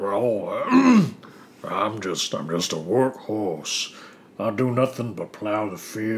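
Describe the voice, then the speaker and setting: Putting on a character voice, a man speaks at a fairly low pitch with ordinary pitch variation, very slowly and with long, frequent pauses. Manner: plodding, dull, resigned.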